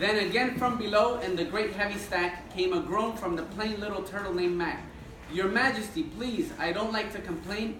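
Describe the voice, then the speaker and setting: A man speaks at a moderate pace in a high pitch. There is audible room echo and light background noise. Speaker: guest. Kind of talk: reading a story aloud to children. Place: classroom. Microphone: camera far.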